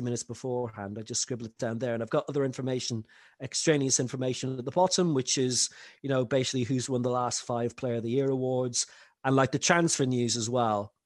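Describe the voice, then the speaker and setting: Fairly quick speech from a man at a medium pitch. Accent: Irish. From Ireland, rural. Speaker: football commentator. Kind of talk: casual interview.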